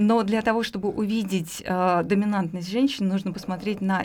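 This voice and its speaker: On a very clean recording with a silent background, a woman talks at a moderate pace in a somewhat breathy voice of medium pitch. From Russia, Moscow. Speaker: studio guest. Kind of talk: casual radio interview. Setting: radio studio.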